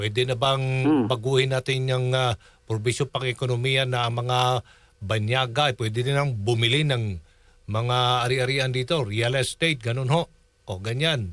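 This man has an unremarkable speaking voice at medium pitch, with fairly even intonation and very even loudness. He keeps a moderate pace, and the recording is very clean with a silent background. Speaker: radio news anchor. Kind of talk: interview.

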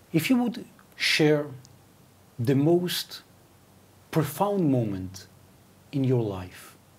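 Somewhat breathy and fairly high in pitch, a man speaks with very wide pitch swings and long, frequent pauses. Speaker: interviewer. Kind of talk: interview. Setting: studio. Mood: warm, friendly. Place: studio. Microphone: lapel.

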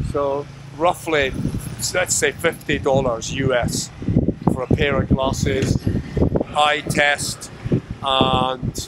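A man talks at a very slow pace with long, frequent pauses over loud background noise. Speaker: vlogger. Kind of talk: casual vlog chat. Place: street. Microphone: phone near.

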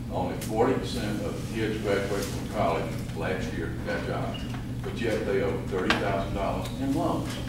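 A man speaks at a very slow pace amid loud background noise and audible room echo. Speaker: political candidate. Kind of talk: campaign speech. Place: hall. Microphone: camera far.

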